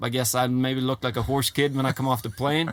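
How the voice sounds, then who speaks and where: Speaking at a very fast pace, a man with a Swedish accent keeps a medium pitch. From Sweden, Gotland. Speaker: horse trainer. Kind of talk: interview. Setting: in a trailer.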